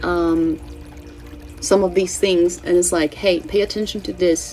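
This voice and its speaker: A woman speaks at a moderate pace with a Brazilian Portuguese accent while music plays in the background. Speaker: astrology and tarot channel host. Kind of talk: casual spiritual forecast monologue. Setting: home, cats present. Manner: halting, with many fillers and self-corrections.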